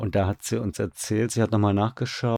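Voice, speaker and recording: A man's fairly low, dark, mellow voice with fairly even intonation, in a dry, close sound with no echo. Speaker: radio drama director. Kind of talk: casual interview. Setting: online call.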